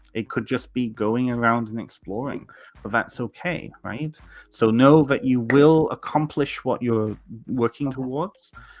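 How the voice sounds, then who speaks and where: With music in the background, a man speaks at a moderate pace in a medium pitch, his pitch varying in an ordinary way. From Southern Ontario, Canada. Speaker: tarot reader, podcast co-host. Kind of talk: casual chat, tarot reading.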